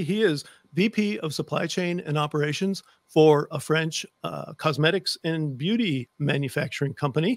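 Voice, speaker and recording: At a moderate pace, a man speaks with ordinary pitch variation, the sound dry with no echo and the background quiet. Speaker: podcast host. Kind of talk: casual podcast talk. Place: home room. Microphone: studio mic.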